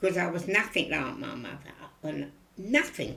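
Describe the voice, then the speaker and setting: Amid audible room echo, a woman with a Cockney accent speaks at a fairly low pitch with vocal fry. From East End of London. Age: 90s. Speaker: elderly interviewee. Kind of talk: oral history interview.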